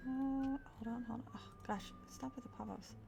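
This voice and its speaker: A woman speaks in a high pitch with music in the background. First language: Spanish. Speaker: streamer and artist. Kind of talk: casual live stream chat. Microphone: further from the mic than usual, maybe quiet.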